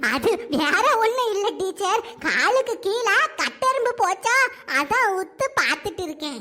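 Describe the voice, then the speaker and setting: A cartoonish character voice at an extremely high pitch, with very wide pitch swings and music in the background. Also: fairly slow pace. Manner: giggling, apologetic.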